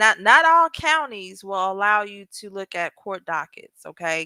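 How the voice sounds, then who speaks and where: A woman's animated, bright, sharp voice in an American accent at a fairly slow pace, on a very clean recording with a silent background. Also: dry, close sound with no echo. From US South, South Carolina. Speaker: paralegal and legal commentary YouTuber. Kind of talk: casual livestream chat reading comments.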